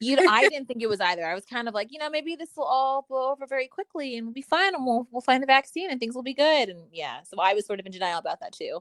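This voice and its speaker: This woman talks at a very fast pace with hardly any pauses, her high voice making very wide pitch swings. The sound is dry and close, with no echo. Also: big swings in loudness. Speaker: actress. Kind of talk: casual chat. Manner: halting, stumbling over words.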